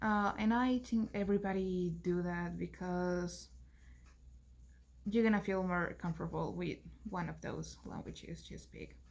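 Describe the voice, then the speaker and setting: A woman with a Spanish accent speaks at a fairly slow pace. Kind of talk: class presentation. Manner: halting.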